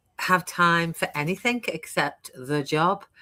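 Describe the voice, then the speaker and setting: A woman with a British accent, bright and sharp in tone, at a very slow pace. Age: 60s. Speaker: online business coach. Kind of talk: interview. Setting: live stream.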